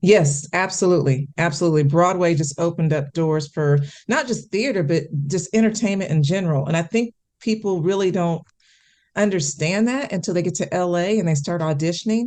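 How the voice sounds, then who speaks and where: In an American accent, this unremarkable speaking voice moves at a fairly quick pace with ordinary pitch variation over a quiet background. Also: woman, fairly low pitch for a woman. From US Midwest, Kansas City, Missouri. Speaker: actress and television correspondent. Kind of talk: interview.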